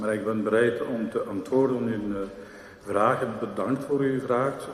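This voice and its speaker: Amid noticeable background noise and audible room echo, a man speaks very slowly at a medium pitch with fairly even intonation. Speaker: mayor. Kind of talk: council meeting debate reply. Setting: council chamber. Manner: hesitant, many fillers.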